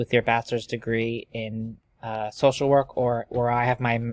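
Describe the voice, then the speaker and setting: A man speaks at a moderate pace in a flat monotone at medium pitch. The recording is very clean, with a silent background and a dry, close sound free of echo. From Pennsylvania. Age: 20s. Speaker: social work graduate student. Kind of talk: self-introduction video. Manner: halting, many fillers.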